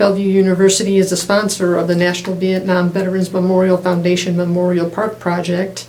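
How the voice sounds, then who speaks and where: Over noticeable background noise, a woman races along very fast at medium pitch, with monotone, flat intonation and hardly any pauses. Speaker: oral history interviewer. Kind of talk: interview question.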